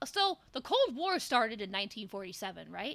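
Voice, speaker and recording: A woman projects a raised voice in an animated, bright, sharp tone with very wide pitch swings. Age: 20s. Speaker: VTuber streamer. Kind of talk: casual live stream chat.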